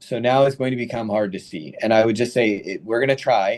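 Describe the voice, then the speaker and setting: A man's medium-pitched voice at a moderate pace. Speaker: radiation oncologist, professor. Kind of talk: lecture. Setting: webinar. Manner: casual.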